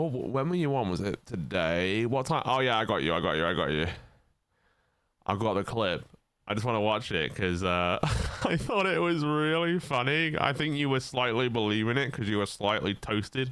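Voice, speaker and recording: A man with an American accent, very wide pitch swings and very even loudness. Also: medium pitch for a man, moderate pace. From northern England. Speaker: podcast host. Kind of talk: casual chat.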